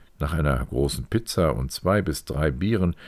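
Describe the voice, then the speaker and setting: The recording is very clean, with a silent background. A man speaks at a fairly slow pace in a very deep, low pitch, with vocal fry. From northwestern Germany, County of Bentheim. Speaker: podcast host and author. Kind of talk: scripted narration.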